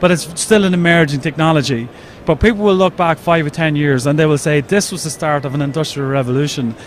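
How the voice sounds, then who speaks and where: Through noticeable background noise, a man with an Irish accent and a fairly high pitch talks at a very fast pace. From Ireland. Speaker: 3D printer company representative. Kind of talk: trade show interview.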